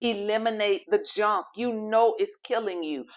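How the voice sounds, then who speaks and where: A woman with a fairly high voice and ordinary pitch variation talks at a moderate pace. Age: 60s. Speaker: health and faith show host. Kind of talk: motivational health talk. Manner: pleading, emphatic.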